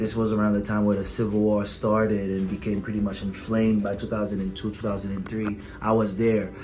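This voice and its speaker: Speaking at a fairly quick pace with hardly any pauses, a man with a fairly low pitch keeps a monotone, flat intonation amid noticeable background noise and audible room echo. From Haiti, Port-au-Prince. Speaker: emergency physician. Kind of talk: interview. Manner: halting, many repetitions.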